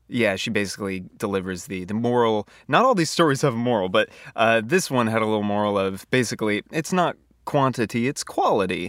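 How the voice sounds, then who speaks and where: In an unremarkable speaking voice, a man talks at a medium pitch with ordinary pitch variation. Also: fairly quick pace. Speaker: podcast host. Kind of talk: casual chat. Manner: laughs a lot.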